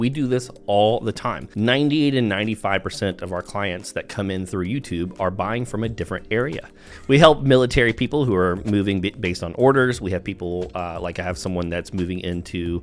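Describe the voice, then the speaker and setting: This man has an American accent and lively intonation. He talks at a fairly quick pace. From US South. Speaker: real estate agent. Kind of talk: informal video talk to camera. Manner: fast.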